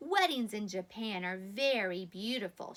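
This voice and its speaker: A woman's put-on character voice at medium pitch, with lively intonation and a moderate pace. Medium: read story. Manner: warm, patient.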